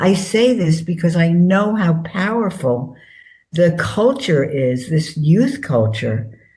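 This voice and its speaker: A woman speaks in a fairly low, somewhat breathy voice with a dark, mellow tone and very wide pitch swings. Audible room echo surrounds her. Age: 80s+. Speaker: author. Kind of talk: interview. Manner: forthright and plain spoken.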